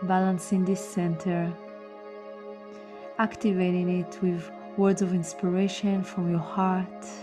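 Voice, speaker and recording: A woman speaks at a fairly low pitch in a monotone, flat intonation, with very even loudness, long, frequent pauses and music in the background. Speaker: meditation guide. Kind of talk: guided meditation narration. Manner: slow, calm, soothing.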